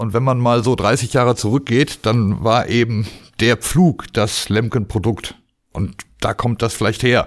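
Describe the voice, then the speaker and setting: Here a man speaks in a normal speaking voice at medium pitch and a fairly slow pace. His intonation is fairly even, and the recording is very clean with a silent background. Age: 50s. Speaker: agricultural machinery trainer. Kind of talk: casual interview.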